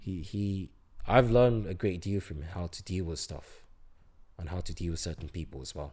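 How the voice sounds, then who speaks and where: Somewhat breathy and dark, mellow in tone, a man with a very deep, low pitch speaks at a moderate pace with ordinary pitch variation and big swings in loudness. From Singapore. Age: 20s. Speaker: university student. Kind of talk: casual interview. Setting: at home.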